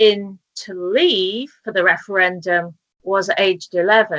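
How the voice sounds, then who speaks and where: With a British accent, a woman speaks very slowly at a medium pitch in a bright, sharp tone. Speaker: talk show host. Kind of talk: casual interview chat. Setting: video call from kitchen table.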